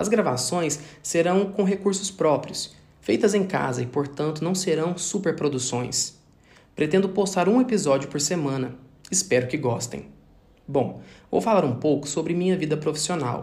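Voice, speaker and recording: This man talks in a normal speaking voice at a moderate pace. His pitch is fairly high and his intonation lively. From Brazil, Minas Gerais (Triângulo Mineiro). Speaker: pharmacist. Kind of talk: scripted narration. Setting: home recording.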